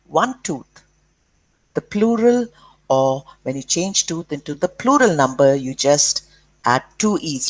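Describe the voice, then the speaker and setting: A woman speaks with an Indian accent, her pitch swinging very widely. The sound is dry and close, with no echo. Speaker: school teacher. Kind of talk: lesson for children.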